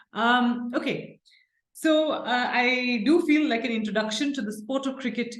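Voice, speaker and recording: A somewhat breathy woman's voice with lively intonation and audible room echo. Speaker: professor. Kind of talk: lecture. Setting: seminar with audience.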